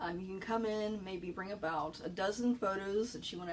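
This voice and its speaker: Soft-spoken and medium-pitched, a woman talks at a fairly quick pace with fairly even intonation over noticeable background noise. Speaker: librarian. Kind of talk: informational talk. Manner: hesitant with fillers.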